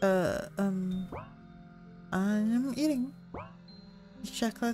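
Soft-spoken, a woman talks at a medium pitch and a very slow pace, her pitch moving in an ordinary way. Music plays in the background. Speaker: gamer. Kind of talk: let's play commentary.

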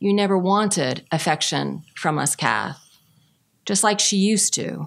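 A woman's very slow speech. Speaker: poet. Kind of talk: poem reading. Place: hall. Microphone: podium.

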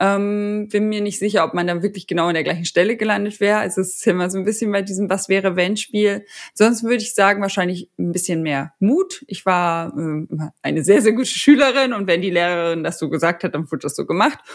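A woman at a medium pitch and a fairly quick pace, with ordinary pitch variation, hardly any pauses, and a quiet background. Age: 30s. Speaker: agile coach. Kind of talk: interview answers. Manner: hesitant with many fillers. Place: home room. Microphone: studio mic.

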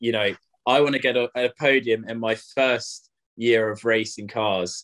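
In an ordinary speaking voice over a quiet background, a man of medium pitch talks at a fairly slow pace with fairly even intonation. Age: 20s. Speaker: racing driver; guest. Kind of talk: interview. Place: home room. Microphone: video call.

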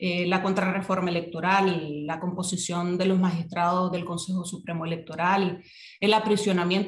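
Moderate speed from a woman's voice amid audible room echo. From Nicaragua. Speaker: social movement activist; guest. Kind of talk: interview, political analysis. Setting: remote call. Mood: serious, critical. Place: home room. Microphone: video call.

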